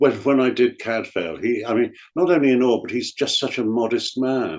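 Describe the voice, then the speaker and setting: The speaker goes at a moderate pace with an English accent. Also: man. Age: 70s. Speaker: actor. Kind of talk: interview.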